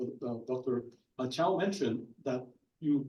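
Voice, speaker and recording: This man has a dark, mellow tone, a non-native accent, and ordinary pitch variation. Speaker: physician panelist. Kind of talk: panel discussion. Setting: conference panel with audience.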